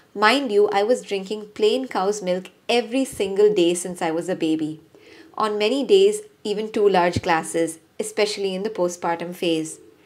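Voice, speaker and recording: A woman's medium-pitched voice at a moderate pace with ordinary pitch variation, set against noticeable background noise. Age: 40s. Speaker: parenting and lifestyle vlogger. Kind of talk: personal health vlog.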